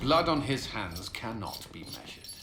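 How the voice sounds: Man's put-on character voice, fairly low in pitch and fairly bright in tone, with big pitch swings, vocal fry, a moderate pace, and audible room echo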